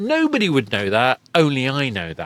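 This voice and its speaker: At a fairly slow pace, a man speaks with a British accent at a medium pitch. The sound is dry and close with no echo. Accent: British received pronunciation. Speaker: podcast host. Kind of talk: interview conversation.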